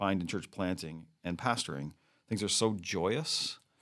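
Here a man speaks at a fairly slow pace in an unremarkable speaking voice. The recording is very clean, with a silent background. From New Brunswick, Canada. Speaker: pastor and church planter. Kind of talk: interview.

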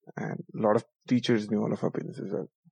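A man with a fairly low pitch and a dark, mellow tone speaks with vocal fry, recorded in a dry, close sound with no echo. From Odisha, India. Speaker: storyteller. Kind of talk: personal storytelling.

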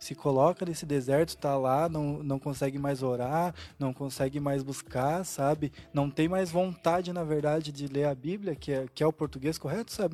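The tone is dark and mellow. The pace is moderate. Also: man. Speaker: church member panelist. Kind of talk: casual church panel discussion.

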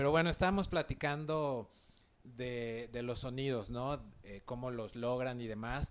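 Using a normal speaking voice, a man talks at a fairly slow pace with a medium pitch and ordinary pitch variation. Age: 40s. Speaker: podcast host. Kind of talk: interview.

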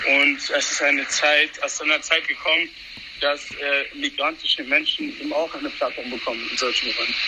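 Noticeable background noise runs throughout. Over it, a man talks at a moderate pace. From Hesse, Germany. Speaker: activist. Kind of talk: casual chat. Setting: subway train. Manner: halting, many fillers.

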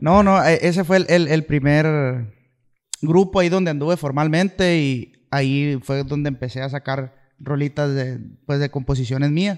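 A plain, everyday voice delivers its words at a fairly slow pace, its pitch varying in an ordinary way. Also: man, fairly high pitch for a man. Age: 20s. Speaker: musician. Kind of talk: casual chat.

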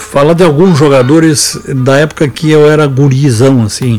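At a moderate speed and with ordinary pitch variation, the speech comes through noticeable background noise. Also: man. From Rio Grande do Sul, Brazil. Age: 70s. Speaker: sports radio host and veteran football journalist. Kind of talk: football memories storytelling. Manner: halting, many repetitions and fillers.

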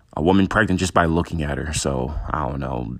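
A man talks at a very deep, low pitch with vocal fry. His pace is moderate. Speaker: podcast host. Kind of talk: casual monologue. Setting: lying in bed at home. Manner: loose, unscripted.

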